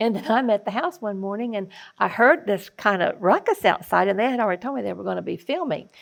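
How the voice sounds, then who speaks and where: Talking at a very fast pace in an Oklahoma accent, a woman has a fairly high pitch, lively intonation and vocal fry. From Oklahoma, Osage Nation (Fairfax). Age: old. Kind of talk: casual chat.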